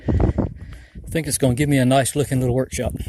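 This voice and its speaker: A man speaks with an Appalachian accent at a fairly slow pace. His tone is relaxed. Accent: US Southern Appalachian. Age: 60s. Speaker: homesteader and woodcarver. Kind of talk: casual vlog walkthrough. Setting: outdoors and in workshop on farm. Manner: relaxed, slow-paced.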